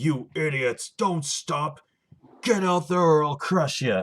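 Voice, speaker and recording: At a fairly slow pace, a speaker uses a put-on character voice at a middle pitch. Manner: menacing, bullying.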